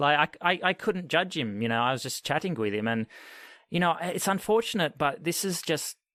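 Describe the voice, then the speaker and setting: Someone with an Australian accent talks at a moderate pace with lively intonation. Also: man. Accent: mild Australian. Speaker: podcast host. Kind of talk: podcast interview.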